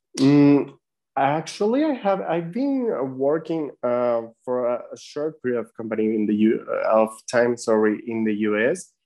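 Lively intonation at a fairly slow pace. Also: man, medium pitch for a man. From Mexico City. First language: Spanish. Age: 30s. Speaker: marketing and design freelancer. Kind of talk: interview. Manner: halting.

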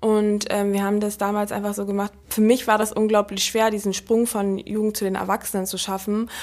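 Her medium-pitched voice moves at a fairly quick pace, with monotone, flat intonation throughout. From Berlin. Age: 20s. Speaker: sprinter. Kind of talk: interview. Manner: fast.

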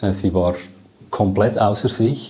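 Very slowly, the man speaks in a dark, mellow tone. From Switzerland, Lucerne. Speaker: project manager. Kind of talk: interview.

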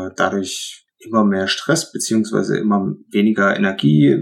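A man speaks with a fairly low pitch. His voice has vocal fry. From Upper Lusatia, Saxony. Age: 30s. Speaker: former trainee with depression. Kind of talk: testimony.

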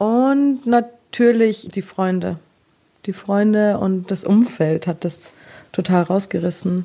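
The woman's pitch falls in the medium range. It rises and falls in an ordinary way. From Bavaria, Munich area. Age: 20s. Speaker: single on a dating show. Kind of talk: casual interview.

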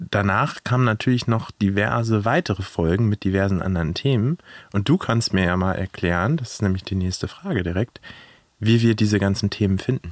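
Speech moves at a moderate speed. The background is silent in a very clean recording. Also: man, ordinary pitch variation. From Germany, Hannover. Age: 30s. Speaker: podcast host. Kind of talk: casual chat. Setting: outdoors at a zoo.

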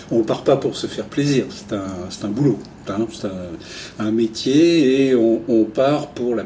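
Over noticeable background noise, a man at a medium pitch talks at a fairly slow pace with ordinary pitch variation. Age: 60s. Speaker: retired travel journalist. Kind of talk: interview.

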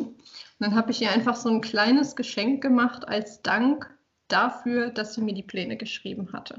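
With a plain, everyday voice, a woman speaks at a fairly high pitch with fairly even intonation. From Saarland, Germany. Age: 20s. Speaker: fitness trainer and communication researcher. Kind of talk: casual interview.

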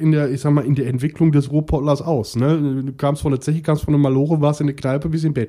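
A man talks very fast with a dark, mellow tone. His pitch is fairly high and his intonation fairly even. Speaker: podcast host. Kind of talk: casual chat.

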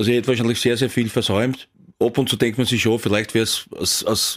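A man talking very fast with an Austrian accent, on a very clean recording with a silent background. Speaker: former professional footballer. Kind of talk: casual interview. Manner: halting.

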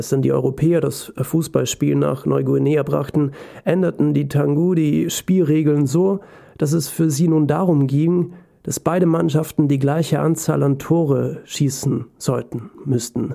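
This man talks at a fairly slow pace in a fairly high voice with a dark, mellow tone. His intonation stays fairly even. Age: 20s. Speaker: podcast host and author. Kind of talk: personal essay monologue. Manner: emotional.

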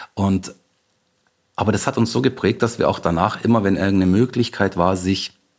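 With a plain, everyday voice, a man speaks at a moderate pace, his fairly low pitch showing ordinary variation. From Bavaria, rural area near Munich. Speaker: festival founder and migration activist. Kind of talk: interview. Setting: remote call.

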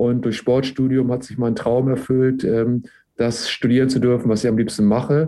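Delivered at a moderate pace, a man's dark, mellow tone sits at a medium pitch with monotone, flat intonation. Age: 50s. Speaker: university sports director. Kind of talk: interview. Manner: frequent filler hesitations.

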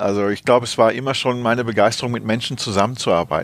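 Keeping his intonation fairly even, a man speaks at a very fast pace. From Rhineland, Germany (Neuss). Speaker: corporate HR director. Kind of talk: interview. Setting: office. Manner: hesitant, many fillers.

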